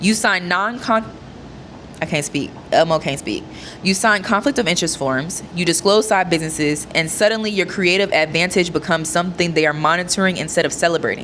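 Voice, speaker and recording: Over noticeable background noise, a woman speaks fairly quickly in a fairly low pitch, with an animated tone and ordinary pitch variation. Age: 20s. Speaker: content creator. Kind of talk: reading aloud with commentary.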